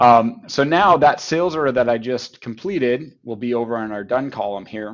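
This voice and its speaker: With a Canadian accent and a normal speaking voice, a man speaks at medium pitch and a moderate pace, his intonation lively and his loudness swinging widely. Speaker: software company partnerships head giving product demo. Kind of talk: software demo in webinar. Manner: conversational with fillers.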